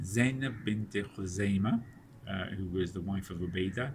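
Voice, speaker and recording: Somewhat breathy and fairly low, a man's voice moves at a fairly slow pace with ordinary pitch variation amid audible room echo. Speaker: Islamic study circle teacher. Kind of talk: lecture. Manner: halting, many fillers and repetitions.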